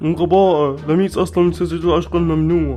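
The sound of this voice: A man does a cartoonish character voice at a fairly quick pace with clear music behind him.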